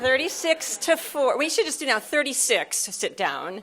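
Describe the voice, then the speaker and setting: Over noticeable background noise, a woman with an American accent speaks at a fairly slow pace. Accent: American, noticeable to Australian audience. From US Midwest, Nebraska. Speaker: psychiatric nurse practitioner and professor. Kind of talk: conference keynote. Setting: stage with audience.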